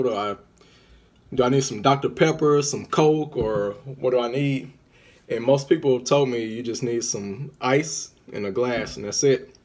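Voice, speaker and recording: Keeping to a moderate pace, a man talks with pitch that varies in an ordinary way. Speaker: vlogger. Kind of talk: casual vlog chat. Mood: relaxed, playful. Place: home room. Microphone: phone near.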